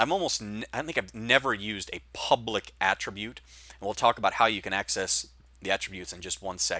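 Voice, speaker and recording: On a very clean recording with a silent background, a man speaks at a fairly quick pace in a fairly low pitch. His tone is bright and sharp, with big swings in loudness. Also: ordinary pitch variation, dry, close sound with no echo. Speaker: programming instructor. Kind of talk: lecture. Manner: fast.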